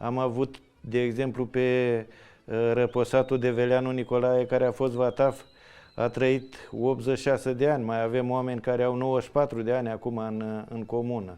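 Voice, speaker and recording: Against a quiet background, a man with a medium pitch and a dark, mellow tone speaks at a moderate pace. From Romania, Oltenia (Dolj county). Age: 60s. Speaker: traditional folk dancer. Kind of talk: interview storytelling. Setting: village museum. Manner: halting.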